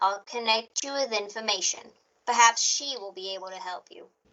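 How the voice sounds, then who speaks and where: Using a put-on character voice, a woman speaks fairly quickly at a fairly high pitch with big swings in loudness. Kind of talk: 1940s radio acting. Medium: audio drama. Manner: flat, formal, detached.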